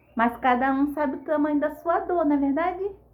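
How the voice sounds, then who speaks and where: The woman's voice sits high in pitch. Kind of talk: devotional teaching. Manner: animated.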